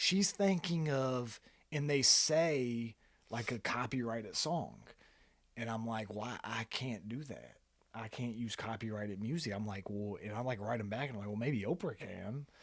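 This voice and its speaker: A man speaks in a strong Kentucky accent at a moderate pace. The recording is very clean, with a silent background. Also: medium pitch for a man, ordinary pitch variation. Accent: thick Kentucky country. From Kentucky, Fairdale. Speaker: photographer and videographer, small business owner. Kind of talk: casual podcast interview, storytelling.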